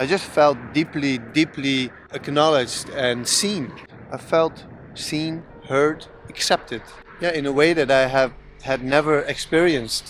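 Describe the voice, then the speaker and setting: The intonation stays fairly even while noticeable background noise is heard. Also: man. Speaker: content creator who stutters. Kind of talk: personal vlog monologue. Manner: halting with repetitions.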